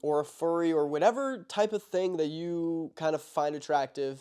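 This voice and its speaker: A man speaks with ordinary pitch variation. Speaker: podcast host. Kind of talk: casual chat. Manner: rambling, filler-heavy.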